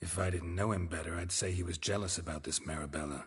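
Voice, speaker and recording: A man's put-on character voice, very deep and low in pitch, deadpan in tone, at a very fast pace, over a quiet background. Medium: video game. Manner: dry, terse, deadpan.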